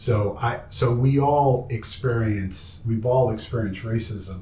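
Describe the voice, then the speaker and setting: A man with a medium-pitched, dark, mellow and somewhat breathy voice speaks fairly slowly with ordinary pitch variation, with audible room echo. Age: 60s. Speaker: documentary filmmaker interviewing his father. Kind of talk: family interview conversation. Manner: halting.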